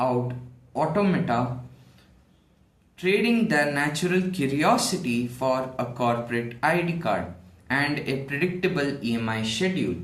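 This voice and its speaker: A man's fairly high, somewhat breathy voice, very slow in pace, with lively intonation. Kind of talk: monologue essay to camera. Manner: some stuttering, hesitant.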